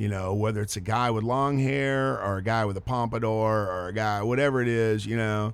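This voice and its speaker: With a Texan accent, a man with a fairly low pitch speaks at a fairly quick pace. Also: ordinary pitch variation, hardly any pauses. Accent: Texan, noticeable. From Texas. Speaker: touring musician and filmmaker. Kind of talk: radio interview. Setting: studio. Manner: casual, chatty.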